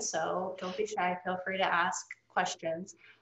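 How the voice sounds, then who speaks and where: The intonation is monotone and flat. There is audible room echo. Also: woman. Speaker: nonprofit board member and moderator. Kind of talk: moderated Q&A discussion. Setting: video call. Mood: warm, calm. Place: home room. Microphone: webcam.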